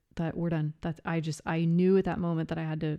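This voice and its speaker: A woman speaks with a fairly low pitch. The background is quiet. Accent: American. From US Midwest, Iowa. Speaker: psychologist sharing life story. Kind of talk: personal testimony interview. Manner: halting, many fillers and restarts.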